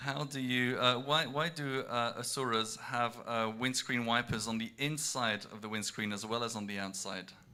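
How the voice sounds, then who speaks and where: On a very clean recording with a silent background, a man speaks at a moderate pace. His medium-pitched voice has a bright, sharp tone and fairly even intonation. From half French, bilingual upbringing. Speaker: amateur comedian telling jokes between performances. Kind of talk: joke telling to audience. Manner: halting, many fillers.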